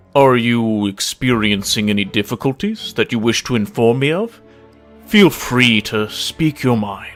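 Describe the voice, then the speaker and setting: Over faint background music, a man performs a put-on character voice. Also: medium pitch for a man, moderate pace. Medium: read story. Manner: dignified yet relaxed.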